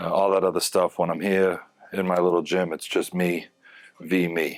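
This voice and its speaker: A man's very deep, low voice at a moderate pace. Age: 40s. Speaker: fitness vlogger in addiction recovery. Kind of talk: casual workout vlog talk. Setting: home gym. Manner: hesitant, many fillers.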